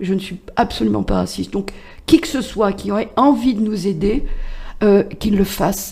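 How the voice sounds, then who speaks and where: The voice has a dark, mellow tone with vocal fry. It moves at a moderate pace with ordinary pitch variation. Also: woman, medium pitch for a woman. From France, Loiret (Chécy). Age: 60s. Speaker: patient association president. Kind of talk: radio interview. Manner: hesitant, many fillers.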